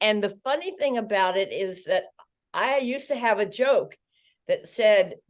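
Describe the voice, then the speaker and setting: A woman speaks at a fairly slow pace. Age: 80s+. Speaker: social media influencer. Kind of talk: interview.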